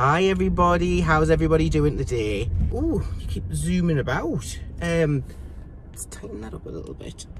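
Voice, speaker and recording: A man speaks at a moderate pace, and his loudness swings widely. The sound is dry with no echo, and there is light background noise. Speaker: vlogger. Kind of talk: casual vlog chat. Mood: chatty, playful, self-mocking.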